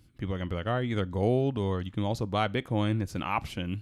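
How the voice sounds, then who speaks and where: Speaking very fast, a man with an American accent keeps to a fairly low pitch. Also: very clean recording, silent background. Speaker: podcast co-host, restaurant server. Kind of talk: casual chat.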